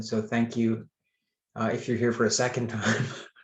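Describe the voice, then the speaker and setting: At a moderate pace, a man with an American accent talks at a medium pitch, sounding somewhat breathy. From USA. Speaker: author. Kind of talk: author talk.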